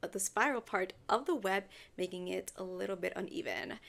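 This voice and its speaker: The pace of the speech is moderate. It carries a non-native accent. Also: woman. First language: not English. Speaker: podcast host. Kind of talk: casual storytelling podcast. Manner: animated.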